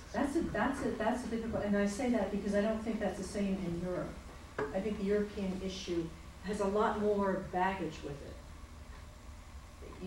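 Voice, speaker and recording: Noticeable background noise sits behind a woman's voice. Her pitch is medium and her pace fairly slow. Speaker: audience questioner, retired diplomat. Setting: lecture hall with audience questions.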